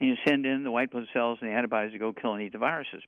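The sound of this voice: A man talks very fast at a medium pitch. His intonation stays fairly even.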